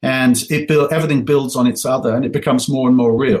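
With an American accent, a man talks at a fairly quick pace in a fairly high, somewhat breathy voice. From England. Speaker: venture investor. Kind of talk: interview.

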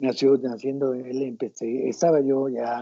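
A man of medium pitch talks at a fairly slow pace in an ordinary speaking voice. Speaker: rock guitarist. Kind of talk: interview.

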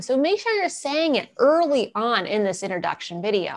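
The speaker has an American accent and keeps a moderate pace. The pitch swings very widely. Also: woman. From US East Coast. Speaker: video marketing business owner. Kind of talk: webinar presentation.

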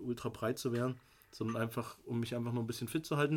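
A man at a medium pitch with a monotone, flat intonation. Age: 30s. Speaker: fitness brand founder. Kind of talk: casual chat.

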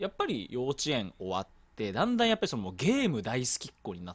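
Delivered at a fairly quick pace, the speech shows big swings in loudness. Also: man. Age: 20s. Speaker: podcast host. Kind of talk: casual chat.

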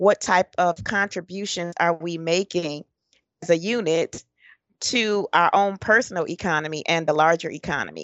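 With an American accent, a woman speaks at a moderate pace in a normal speaking voice, her pitch fairly low and its variation ordinary. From Detroit, Michigan, US. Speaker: personal change coach. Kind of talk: interview.

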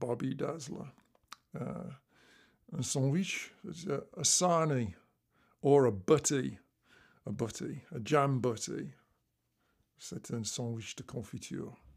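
Very slow, with long, frequent pauses, a man at a medium pitch uses lively intonation, vocal fry and big swings in loudness on a very clean recording with a silent background. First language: English (speaking French). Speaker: musician. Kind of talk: interview.

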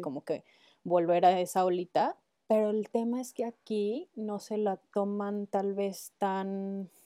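The sound is dry and close with no echo as a woman talks fairly slowly in a medium pitch and a dark, mellow tone over a quiet background. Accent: Mexican. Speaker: ceramic artist. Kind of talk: casual chat.

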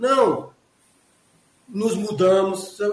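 A man's voice at a very slow pace, with ordinary pitch variation. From Pernambuco, Brazil (Caruaru). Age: 50s. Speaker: forensic expert. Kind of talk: casual interview.

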